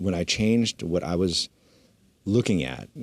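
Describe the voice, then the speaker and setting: A man's very deep, low voice with vocal fry. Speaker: podcast host. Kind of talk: casual chat. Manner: loud.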